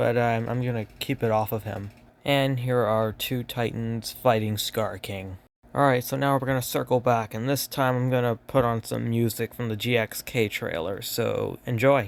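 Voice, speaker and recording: A man in a plain, everyday voice speaks at a moderate pace with fairly even intonation, in a very clean recording with a silent background. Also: medium pitch for a man. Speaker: toy collector youtuber. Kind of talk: toy review showcase.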